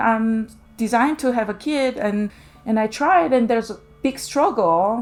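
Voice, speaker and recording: Noticeable background noise behind a woman's high voice, moderately paced. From South Korea. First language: Korean. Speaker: visual artist. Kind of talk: interview monologue. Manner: hesitant, many fillers.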